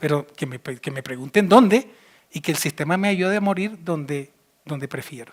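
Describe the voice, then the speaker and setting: Here a man speaks with a high pitch and lively intonation. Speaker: physician and speaker. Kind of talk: conference talk. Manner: fast; animated.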